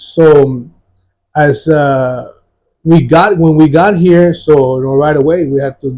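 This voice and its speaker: The tone is dark and mellow, somewhat breathy, with fairly even intonation. Delivery comes at a fairly slow pace. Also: man. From Mexico, moved to San Antonio west side at 11. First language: Spanish. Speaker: former gang member, church testimony guest. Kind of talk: testimony interview. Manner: halting, many fillers and repeats.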